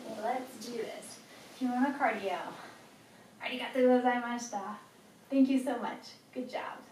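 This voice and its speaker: With an American accent, a woman speaks at a moderate pace in a high voice, her intonation fairly even and her loudness swinging widely. She takes long, frequent pauses, and noticeable background noise runs underneath. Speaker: fitness instructor. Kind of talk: workout instruction to camera.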